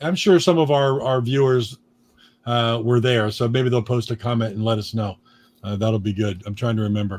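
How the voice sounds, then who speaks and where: A man's plain, everyday voice with an American accent, medium pitch and ordinary pitch variation. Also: moderate pace. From US Northeast, eastern Pennsylvania (Allentown area). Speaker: podcast co-host and record label owner. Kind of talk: casual chat.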